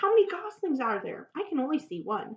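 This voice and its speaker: A woman's squeaky, put-on character voice at an extremely high pitch, with very wide pitch swings and a fairly quick pace. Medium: read story.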